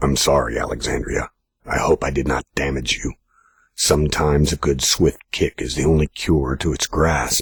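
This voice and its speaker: Using a put-on character voice, a man speaks in a raspy, very deep, low pitch. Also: moderate pace. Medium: read story. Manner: calm, firm, insistent.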